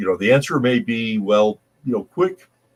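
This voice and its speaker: This man has an ordinary speaking voice at a medium pitch, with ordinary pitch variation and a moderate pace. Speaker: podcast host. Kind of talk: technical podcast discussion.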